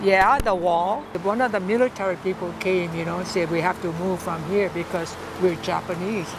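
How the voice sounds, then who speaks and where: A woman's medium-pitched voice at a moderate pace with hardly any pauses and ordinary pitch variation, over noticeable background noise. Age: 80s+. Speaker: elderly farm family member, war memories. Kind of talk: interview answer.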